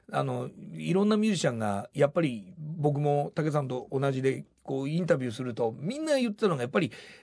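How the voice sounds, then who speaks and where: Barely pausing, a man races along at a very fast pace, his fairly high pitch making very wide swings. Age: 60s. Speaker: rock band vocalist and songwriter. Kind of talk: interview.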